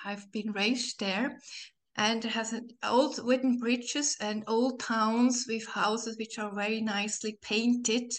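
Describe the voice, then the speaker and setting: In a Swiss German accent, the speaker uses a warm tone and a fairly slow pace, with monotone, flat intonation. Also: woman, fairly high pitch for a woman. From Switzerland. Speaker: spiritual life coach. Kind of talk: interview. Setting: video call.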